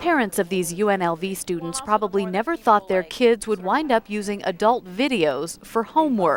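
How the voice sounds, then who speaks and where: A woman with a medium pitch sounds upbeat and playful, her intonation lively. She keeps a moderate pace with hardly any pauses over noticeable background noise. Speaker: news reporter and voiceover artist. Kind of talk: TV news package narration. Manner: lively, upbeat, playful.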